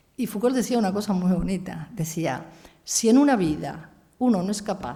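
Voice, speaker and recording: A woman speaks at a moderate pace in a dark, mellow, somewhat breathy tone with lively intonation and audible room echo. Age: 70s. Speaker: philosopher and feminist writer. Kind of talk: lecture.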